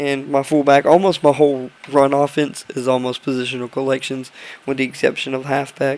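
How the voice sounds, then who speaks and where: Amid noticeable background noise, a man talks fairly quickly in a fairly high pitch with monotone, flat intonation. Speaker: gaming video creator. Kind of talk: gameplay commentary. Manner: casual, halting with fillers.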